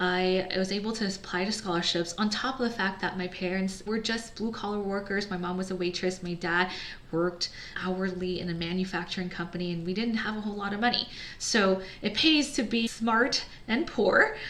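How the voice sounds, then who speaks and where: The speech moves at a fairly quick pace with fairly even intonation. Audible room echo and noticeable background noise are present. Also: woman, medium pitch for a woman. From United States. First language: Chinese. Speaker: entrepreneur, business founder. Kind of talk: personal story monologue. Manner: casual, conversational.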